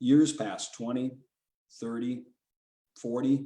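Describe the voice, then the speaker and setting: A man speaks with a dark, mellow tone. His pace is moderate. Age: 70s. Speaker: author. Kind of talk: casual talk; reading aloud. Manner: halting.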